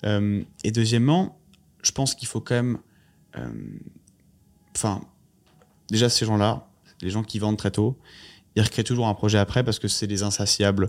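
A man talks in a fairly low pitch with long, frequent pauses. The recording is very clean, with a silent background. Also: moderate pace. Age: 20s. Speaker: startup founder and CEO. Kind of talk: interview conversation. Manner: halting, many fillers and repetitions.

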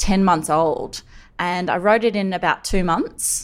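An Australian accent with ordinary pitch variation. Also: woman. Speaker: journalist and cancer survivor. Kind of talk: interview. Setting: remote call.

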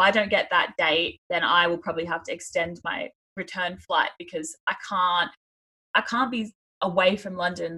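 A woman in an Australian accent speaks at a moderate pace and a medium pitch, her intonation fairly even. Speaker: podcast co-host and expat. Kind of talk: casual chat.

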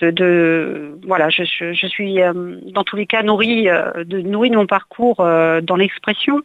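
Very slow speech from a woman at a medium pitch, with ordinary pitch variation. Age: 50s. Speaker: painter. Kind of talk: interview. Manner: halting.

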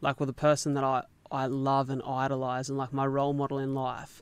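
This is a man with a medium-pitched voice. The recording is very clean, with a silent background. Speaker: marathon runner living with cystic fibrosis. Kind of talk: interview. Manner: animated.

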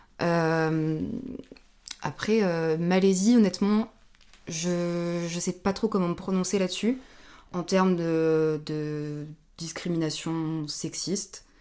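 Speaking very slowly with long, frequent pauses, a woman uses a dark, mellow tone, fairly low pitch and fairly even intonation. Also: very clean recording, silent background. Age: 20s. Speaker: guest traveller on gap year. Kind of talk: casual chat.

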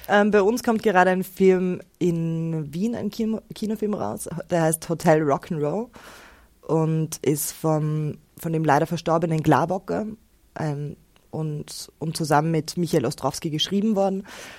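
Her unremarkable speaking voice is fairly low for a woman, moving at a fairly slow pace with ordinary pitch variation. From Austria, Innsbruck. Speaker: actress and author. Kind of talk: interview.

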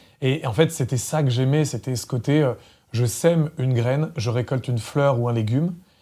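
Somewhat breathy, a man speaks in a dark, mellow tone at a medium pitch. His pace is moderate, and the recording is very clean with a silent background. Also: ordinary pitch variation. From France, Loiret countryside. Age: 40s. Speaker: former radio programme director. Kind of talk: interview. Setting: studio.

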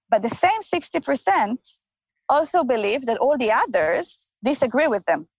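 A woman's high-pitched voice with an Israeli accent, very wide pitch swings, very even loudness and a fairly slow pace. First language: Hebrew. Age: 30s. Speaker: politician. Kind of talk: interview.

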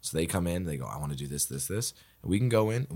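A man with a Nova Scotian accent speaks fairly quickly in a very deep, low voice with lively intonation. The recording is very clean, with a silent background. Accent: Canadian (Nova Scotia). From Nova Scotia, Canada. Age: 20s. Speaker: improviser and comedian. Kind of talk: casual chat.

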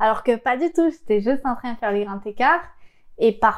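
Her pitch fairly high and ordinarily varied, a woman speaks at a fairly quick pace. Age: 20s. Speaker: interviewee sharing childhood abuse story. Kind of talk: testimony. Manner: halting.

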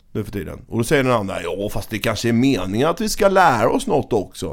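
Speaking at a fairly quick pace, a man uses vocal fry and very wide pitch swings. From Sweden, Växjö, Småland. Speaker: podcast host. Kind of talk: casual chat.

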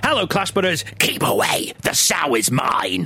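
A man speaks in a put-on character voice, fairly high for a man. Faint music plays in the background. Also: moderate pace. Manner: menacing, possessive.

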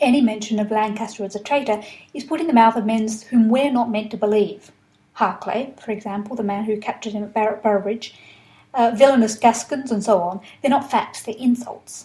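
A woman with an Australian accent speaks at a fairly high pitch and a fairly quick pace. Her tone is dark and mellow, somewhat breathy, with fairly even intonation. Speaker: historian. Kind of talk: lecture.

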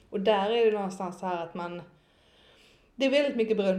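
A woman speaks at a medium pitch. Audible room echo fills the recording. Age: 20s. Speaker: marketing consultant and network founder. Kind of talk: casual chat.

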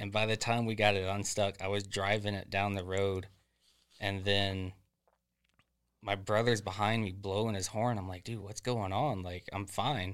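On a very clean recording with a silent background, a man with a Florida accent speaks at a fairly low pitch and a moderate pace in monotone, flat intonation. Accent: US Southern (Florida). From Central Florida, near Leesburg. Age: 20s. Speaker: forklift supervisor. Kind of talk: casual chat.

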